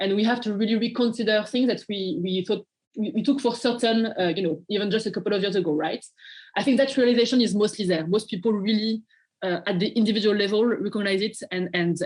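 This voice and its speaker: A woman's somewhat breathy, medium-pitched voice with a French accent, very fast pace and ordinary pitch variation. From France. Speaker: nonprofit partnerships manager. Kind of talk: interview. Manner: halting, many fillers and repeats.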